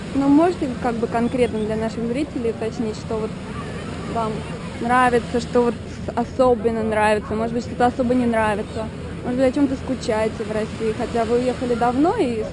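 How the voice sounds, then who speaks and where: Crowd noise fills the background as a woman speaks at a fairly high pitch with fairly even intonation. Her pace is fairly quick, broken by long, frequent pauses. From Russia, Moscow. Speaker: street interviewer. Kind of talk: street interviews. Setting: outdoors, beach.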